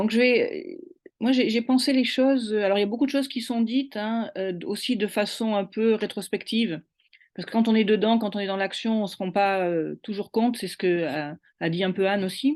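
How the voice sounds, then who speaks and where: The speech has ordinary pitch variation and a moderate pace against a quiet background. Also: woman, fairly high pitch for a woman. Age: 60s. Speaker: university administrator. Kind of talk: testimony. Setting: online webinar. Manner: hesitant, many fillers.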